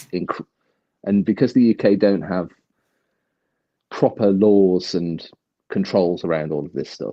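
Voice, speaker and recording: A man with a British accent speaks at a very deep, low pitch in a dark, mellow tone, with ordinary pitch variation. His loudness swings widely, with long, frequent pauses between phrases. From UK. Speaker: livestream guest. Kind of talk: casual chat. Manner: fast.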